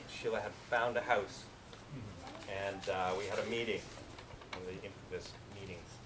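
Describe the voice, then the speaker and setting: A man with a Canadian accent talks at a fairly quick pace but with long, frequent pauses, with audible room echo and noticeable background noise. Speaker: eulogist at a memorial. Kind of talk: memorial speech. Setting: memorial gathering. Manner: talkative.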